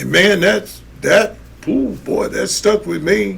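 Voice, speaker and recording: With an American accent, a man talks as noticeable background noise fills the recording. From United States. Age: 60s. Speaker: podcast host. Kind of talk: casual commentary monologue. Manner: animated.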